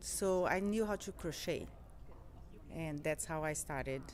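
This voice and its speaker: A woman speaks with a Portuguese accent. Her pace is fairly slow. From Brazil. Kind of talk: interview. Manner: halting, with fillers and repeats.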